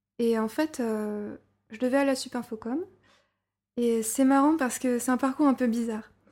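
A woman with a high pitch and fairly even intonation speaks at a moderate pace, leaving long, frequent pauses, in a very clean recording with a silent background. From Burgundy, France. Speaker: storyboard artist. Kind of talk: interview.

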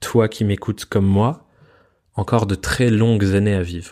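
Dark and mellow, the man's voice sits fairly low in pitch. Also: very clean recording, silent background. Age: 20s. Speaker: podcast host, freelancer. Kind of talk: solo podcast monologue.

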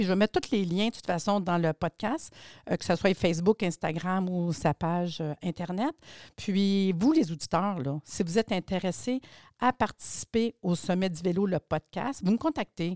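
Recorded very cleanly with a silent background and a dry, close sound with no echo, a woman talks at a moderate pace at a medium pitch with ordinary pitch variation. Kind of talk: interview. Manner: animated.

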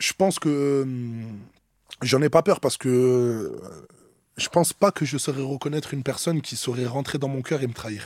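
A man speaks at a moderate pace with ordinary pitch variation and big swings in loudness, in a dry, close sound with no echo on a very clean recording with a silent background. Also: medium pitch for a man. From Marseille, southern France. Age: 20s. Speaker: rapper. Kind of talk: interview. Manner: hesitant, with many fillers.

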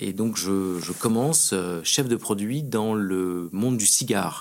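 A man's ordinary speaking voice, pitched fairly low, its pitch varying in an ordinary way. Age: 40s. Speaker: champagne house executive. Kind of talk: interview.

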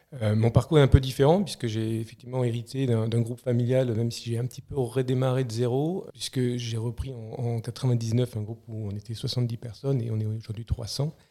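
A man speaks at a moderate pace and a medium pitch, with hardly any pauses. His tone is dark and mellow, his intonation fairly even. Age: 40s. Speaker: CEO of a family moving group. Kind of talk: podcast interview. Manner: halting, many repetitions.

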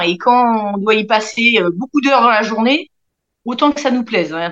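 A woman at a moderate pace, an unremarkable speaking voice with ordinary pitch variation. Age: 40s. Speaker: aircraft assembly workshop team leader. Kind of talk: interview.

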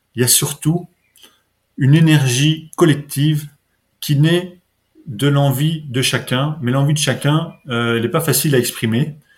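A man's fairly high, somewhat breathy voice with fairly even intonation, a fairly slow pace and long, frequent pauses. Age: 50s. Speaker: local economic development officer. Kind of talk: podcast interview. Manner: halting, many repetitions.

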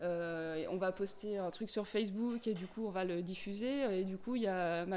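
Noticeable background noise runs under a woman's voice. She speaks at a medium pitch with fairly even intonation. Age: 40s. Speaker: volunteer activist, logistics. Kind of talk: interview.

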